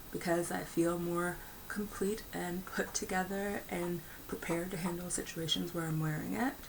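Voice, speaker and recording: At a moderate pace, a woman with a fairly low pitch speaks with fairly even intonation, amid noticeable background noise and audible room echo. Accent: American. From United States. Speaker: video blogger. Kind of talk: personal commentary monologue. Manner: filler-heavy, with frequent ums and uhs.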